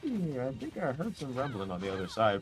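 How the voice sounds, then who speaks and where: Over background music, a man delivers his words at a fairly quick pace. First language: not English. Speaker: esports commentator. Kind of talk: live commentary. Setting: streaming from a noisy shared room. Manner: animated.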